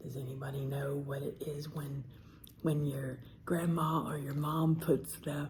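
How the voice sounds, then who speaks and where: A woman speaks very slowly in an American accent, her pitch very deep and low. Her voice is somewhat breathy. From Southern US. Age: old. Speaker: ASMR eating creator. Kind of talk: casual talk to camera.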